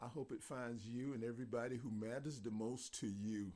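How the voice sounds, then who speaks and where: A man with an American accent, dark and mellow in tone, at a medium pitch and a moderate pace. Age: 60s. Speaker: YouTube vlogger. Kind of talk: personal reflection monologue.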